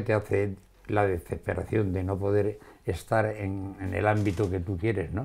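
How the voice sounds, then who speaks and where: The voice has a dark, mellow tone and a monotone, flat intonation, moving at a fairly slow pace. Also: man. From Andalusia, Spain. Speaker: shopkeeper and writer. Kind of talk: interview. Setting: his home wine cellar. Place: office. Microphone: lapel.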